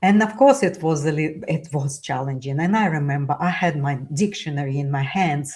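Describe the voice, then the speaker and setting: Somewhat breathy and in a Russian accent, the voice moves at a moderate pace with ordinary pitch variation. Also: woman. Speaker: author and immigrant speaker. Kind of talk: interview conversation. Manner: halting, many fillers.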